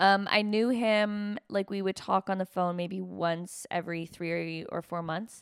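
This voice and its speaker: A woman with an unremarkable speaking voice talks at medium pitch and a fairly slow pace, with fairly even intonation and hardly any pauses. The sound is dry and close with no echo, in a very clean recording with a silent background. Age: 30s. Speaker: stand-up comedian. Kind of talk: casual chat.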